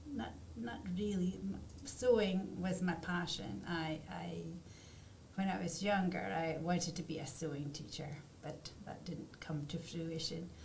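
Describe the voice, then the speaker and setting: Speaking fairly slowly in a Scottish accent, a woman with a fairly low voice uses lively intonation, with audible room echo and noticeable background noise around her. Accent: Scottish, still noticeable. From Scotland, Aberdeen. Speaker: artist. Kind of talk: interview. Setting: studio.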